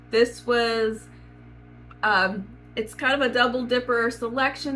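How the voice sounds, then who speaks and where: A woman's fairly high voice at a fairly slow pace, with music in the background. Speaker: book vlogger. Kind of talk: casual chat.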